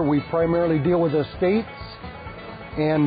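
With an American accent, a man speaks at a moderate pace in a high voice and fairly even intonation, the sound dry with no echo and clear music playing behind him. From Michigan, USA. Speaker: auctioneer. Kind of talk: casual talk to camera, interview answer. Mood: relaxed, friendly. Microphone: lapel.

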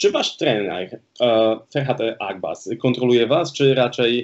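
A man talks with fairly even intonation at a fairly slow pace against a quiet background. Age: 30s. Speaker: podcast host. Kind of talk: casual interview. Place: home room. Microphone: video call.

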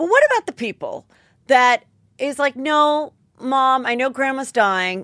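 Lively intonation in a bright, sharp tone, dry with no echo, over a quiet background. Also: woman. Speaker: podcast host. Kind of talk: comedic podcast commentary. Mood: animated, indignant comic riffing. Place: studio. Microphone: studio mic.

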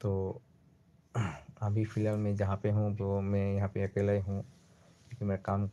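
Monotone, flat intonation from a man with a fairly low pitch and a dark, mellow tone, on a very clean recording with a silent background. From Assam, near Silchar (Barak Valley). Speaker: small YouTube shorts creator. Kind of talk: solo livestream chat. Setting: late-night live stream.

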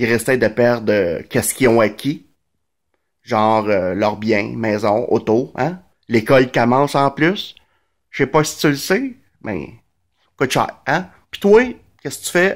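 A man with a Montreal accent at a very slow pace, lively in intonation, with long, frequent pauses against a quiet background. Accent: Quebec French, Montreal. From Quebec, Montreal (Verdun); Quebec. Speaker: vlogger. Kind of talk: casual monologue commentary. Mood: sarcastic, indignant. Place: home room. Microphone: phone near.

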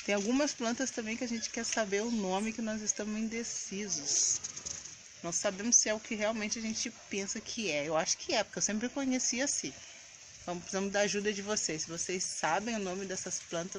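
With ordinary pitch variation, a woman speaks at a moderate pace over noticeable background noise. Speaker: home vlogger. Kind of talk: casual vlog chat. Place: garden. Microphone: phone near.

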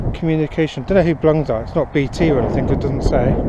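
A man speaks at a moderate pace with ordinary pitch variation. The sound is dry with no echo, with noticeable background noise. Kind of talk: casual exploring commentary. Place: open country. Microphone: phone near.

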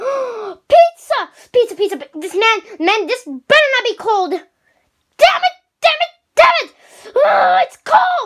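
A man's cartoonish character voice at an extremely high pitch, fairly slow in pace, with long, frequent pauses. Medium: puppet.

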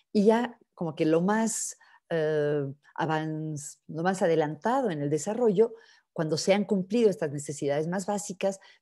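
A woman talks at a moderate pace in a dark, mellow tone with ordinary pitch variation. The background is quiet. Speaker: psychologist and coach; coach. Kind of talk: webinar talk. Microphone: webcam.

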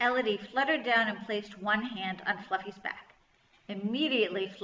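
An unforced reading voice carries the text.

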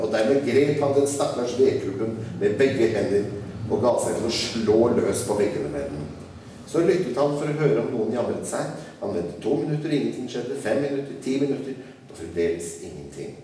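Over light background noise and audible room echo, a man talks at a moderate pace with very wide pitch swings. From Norway. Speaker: writer. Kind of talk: live reading of a children's classic. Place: hall. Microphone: podium.

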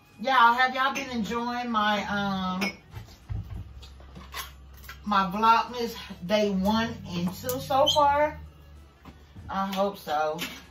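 Speaking at a very slow pace with long, frequent pauses and ordinary pitch variation, a woman is heard over light background noise with audible room echo. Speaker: home cook vlogger. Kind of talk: casual vlog chat, cooking tutorial. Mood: relaxed, cheerful. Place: kitchen. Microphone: phone near.

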